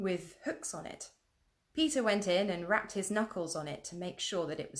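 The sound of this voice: Over a quiet background, the speaker uses an unforced reading voice.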